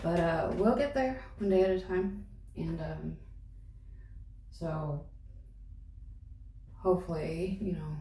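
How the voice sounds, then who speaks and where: Noticeable background noise and audible room echo surround this woman's voice. She speaks at a fairly slow pace. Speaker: vlogger. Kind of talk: casual vlog reflection. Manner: slow, halting.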